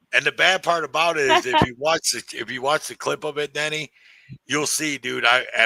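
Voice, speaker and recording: A man at a moderate pace, with big swings in loudness, in a dry, close sound with no echo. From US, inner-city neighborhood. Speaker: podcast host. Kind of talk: casual chat. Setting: livestream. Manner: animated.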